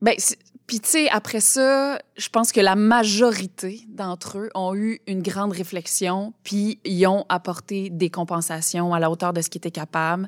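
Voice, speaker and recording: In an ordinary speaking voice, a woman talks at a fairly slow pace with medium pitch and ordinary pitch variation, the sound dry and close with no echo on a very clean recording with a silent background. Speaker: president of a theatre council. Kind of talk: interview.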